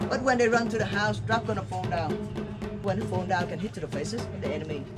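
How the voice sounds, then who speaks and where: Very fast speech over loud background music. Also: man. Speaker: tour guide. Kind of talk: guided tour explanation. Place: street. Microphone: camera far.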